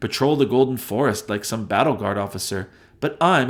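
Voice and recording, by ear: Text is read out in a natural voice, and the pitch moves in an ordinary way.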